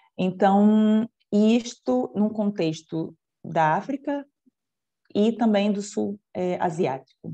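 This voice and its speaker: A woman with a dark, mellow tone speaks at a very slow pace with lively intonation. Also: medium pitch for a woman. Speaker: lecturer. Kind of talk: lecture.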